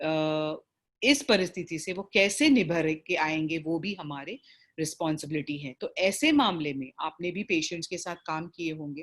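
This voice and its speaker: Against a quiet background, a woman with a South Indian accent speaks at a fairly low pitch with ordinary pitch variation and big swings in loudness. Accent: South Indian, Hindi described as weak. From South Indian, raised in Bombay. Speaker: palliative care doctor and facilitator. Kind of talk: online training session. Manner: halting, many fillers.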